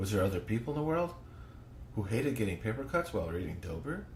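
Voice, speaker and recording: Room echo is audible as a man speaks with vocal fry and very wide pitch swings. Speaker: podcast host. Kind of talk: reading aloud. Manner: halting.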